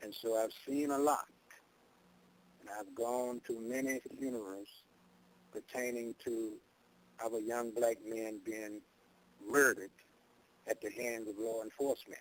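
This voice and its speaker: Long, frequent pauses break up a man's fairly slow speech. He has an American accent and a monotone, flat intonation. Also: medium pitch for a man. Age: 70s. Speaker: activist elder. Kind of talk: interview.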